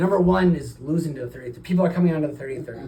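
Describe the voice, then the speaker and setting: In a room with audible echo, a man with a medium pitch talks at a very fast pace with lively intonation. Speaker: cardiologist. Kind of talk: doctor-patient consultation.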